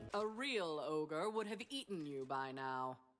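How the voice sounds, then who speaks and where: Using a put-on character voice, the speaker talks fairly slowly at a middle pitch. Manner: mocking.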